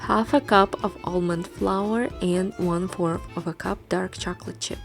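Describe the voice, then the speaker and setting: Over music in the background, a woman with a fairly low pitch speaks at a fairly slow pace with lively intonation. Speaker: recipe video creator. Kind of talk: recipe tutorial voice-over.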